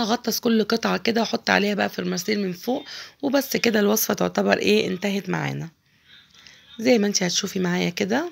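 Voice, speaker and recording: At a moderate pace, a woman speaks with an Egyptian accent. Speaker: cooking channel host. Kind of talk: cooking tutorial. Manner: chatty, informal.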